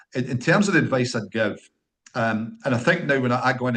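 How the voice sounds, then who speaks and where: Over a quiet background, a man with a medium-pitched voice and a Scottish accent talks at a fairly quick pace. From Scotland. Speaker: company founder, engineer. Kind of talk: podcast interview. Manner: hesitant, repeats words.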